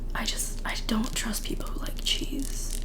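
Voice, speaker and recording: Noticeable background noise runs through the clip. A woman whispers over it. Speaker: ASMR creator. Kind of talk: casual talk to camera. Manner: whispered.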